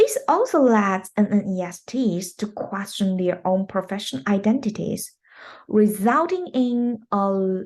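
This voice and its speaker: A woman's somewhat breathy, medium-pitched voice at a very slow pace, with ordinary pitch variation and a quiet background. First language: not English. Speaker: English teacher. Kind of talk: recorded presentation.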